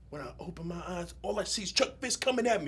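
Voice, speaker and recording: The voice is raised and projected, with an animated tone. Its tone is bright and sharp, with ordinary pitch variation. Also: man. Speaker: actor. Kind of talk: dramatic monologue performance. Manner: animated storytelling.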